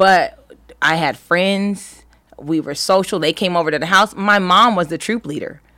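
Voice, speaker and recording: A woman with an American accent talks at a moderate pace and a medium pitch, with a bright, sharp tone and ordinary pitch variation. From US West Coast, Los Angeles County. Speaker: actress and entrepreneur. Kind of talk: casual interview chat. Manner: animated.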